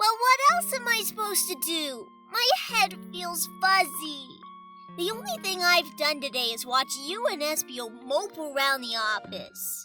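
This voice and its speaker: A put-on character voice comes at a moderate pace over loud music in the background. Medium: read story.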